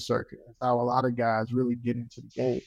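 A man with a North Carolina accent against a quiet background. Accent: US Southern (North Carolina). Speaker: barbecue pitmaster and cookbook co-author. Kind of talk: interview. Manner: halting.

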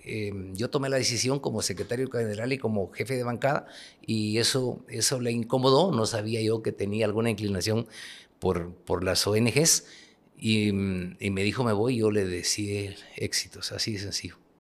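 At a moderate pace, a man speaks with medium pitch and ordinary pitch variation. The recording is very clean, with a silent background. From Guatemala, Huehuetenango. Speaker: politician and presidential candidate. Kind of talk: political interview. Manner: halting, repeats words.

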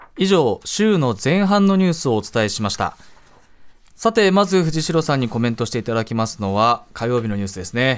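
The pitch of this man's voice swings very widely. He talks at a fairly quick pace. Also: medium pitch for a man. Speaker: radio news host. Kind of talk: news reading. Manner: steady, formal, clear newsreader delivery.

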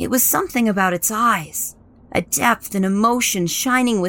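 A natural reading voice, its pitch varying in an ordinary way

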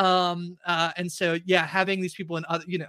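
A man with a bright, sharp tone speaks at a fairly quick pace in a very clean, dry, close recording with no echo and a silent background. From Canada. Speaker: podcast host. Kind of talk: casual chat.

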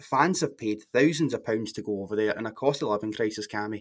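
The man speaks with a Scottish accent at a fairly quick pace. The recording is very clean, the background silent. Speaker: football podcast panelist. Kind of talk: casual chat.

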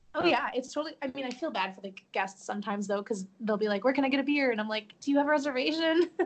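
With hardly any pauses, a woman with an American accent talks at a very fast pace, her high voice full of lively intonation, over noticeable background noise. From Chicago suburbs, Illinois. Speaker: theme park guest services worker. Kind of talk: casual chat.

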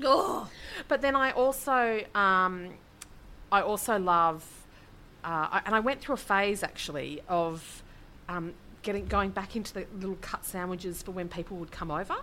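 A woman's bright, sharp voice in an Australian accent, medium in pitch with lively intonation, at a moderate pace with long, frequent pauses. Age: 40s. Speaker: podcast co-host. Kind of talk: casual chat.

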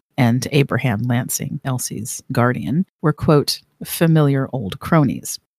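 A woman's very deep, low voice with lively intonation, dry and close with no echo. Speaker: podcast host. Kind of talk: true-crime narration. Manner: measured, storytelling cadence.

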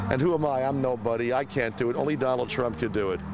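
A man speaks at a fairly quick pace and a medium pitch, with noticeable background noise. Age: 60s. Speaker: voter at a campaign event. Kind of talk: street interview. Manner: animated.

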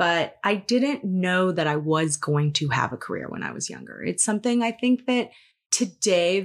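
A woman speaks with lively intonation at a fairly slow pace and a medium pitch. The recording is very clean, and the background is silent. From Los Angeles, California. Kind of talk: casual interview chat.

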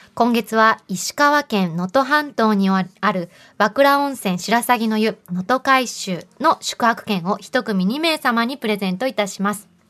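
A woman's voice at a fairly slow pace, with hardly any pauses, ordinary pitch variation and a quiet background. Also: fairly high pitch for a woman, dry, close sound with no echo. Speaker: radio host. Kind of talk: casual chat. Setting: studio. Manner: animated.

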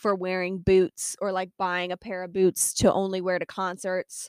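A woman speaks at a moderate pace and medium pitch in a normal speaking voice. The recording is very clean, with a silent background and a dry, close sound with no echo. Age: 20s. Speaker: podcast host and horse owner. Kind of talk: casual solo podcast chat. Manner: chatty, lots of fillers.

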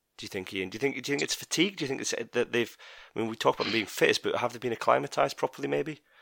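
With a Scottish accent, a man talks at a very fast pace in a dry, close sound with no echo. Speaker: podcast host. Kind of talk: casual chat. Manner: animated.

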